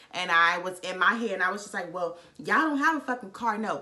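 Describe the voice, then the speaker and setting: A woman rushes along at a very fast pace with lively intonation, noticeable background noise around her. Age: 20s. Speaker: vlogger. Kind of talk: casual chat. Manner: animated.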